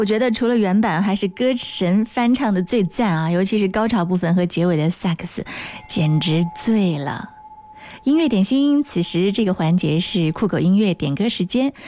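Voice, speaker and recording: A woman's medium-pitched voice, lively in intonation and moderate in pace, with noticeable background noise. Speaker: radio DJ. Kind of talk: live radio music show with dedications. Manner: warm, gentle.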